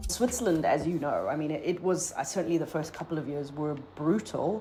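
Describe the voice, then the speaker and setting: The pace is fairly quick, with ordinary pitch variation. Noticeable background noise and audible room echo are present. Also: woman, fairly low pitch for a woman. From Zimbabwe. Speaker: communications strategist. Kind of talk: interview. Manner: halting with repetitions.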